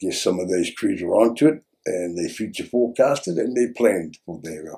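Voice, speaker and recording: A man with a dark, mellow tone speaks at a moderate pace and medium pitch, his intonation lively. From New Zealand, Bay of Plenty (Whakatane). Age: 60s. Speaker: former gang member in rehab. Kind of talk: interview testimony. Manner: halting.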